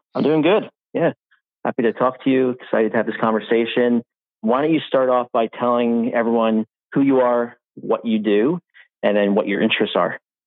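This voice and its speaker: A man talks at a fairly quick pace and a medium pitch, his loudness very even. He has an unremarkable speaking voice with fairly even intonation. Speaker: podcast host. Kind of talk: casual chat.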